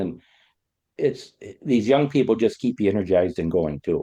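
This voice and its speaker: Speaking at a fairly quick pace with an American accent, a man has a fairly low pitch and a dark, mellow tone. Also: quiet background. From US Midwest (Illinois). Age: 60s. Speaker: farmer. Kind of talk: podcast interview. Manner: halting, many fillers.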